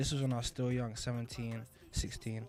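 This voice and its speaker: A man with a London accent speaks at medium pitch and a moderate pace, in monotone, flat intonation, with music in the background. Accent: London multicultural English. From London, England. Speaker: rapper. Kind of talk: interview.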